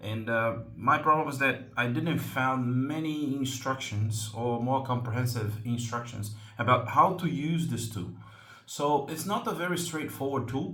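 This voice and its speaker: Speaking at a fairly slow pace with a Portuguese accent, a man keeps a medium pitch with ordinary variation as audible echo fills the room. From Brazil. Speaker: slingshot hobby channel host. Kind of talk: tutorial. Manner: hesitant, many fillers.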